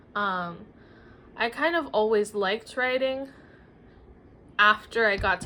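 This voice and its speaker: A woman talks with a Spanish accent at a medium pitch. Her tone is bright and sharp. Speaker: writer and former teacher. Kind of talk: casual vlog monologue. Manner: hesitant, many fillers.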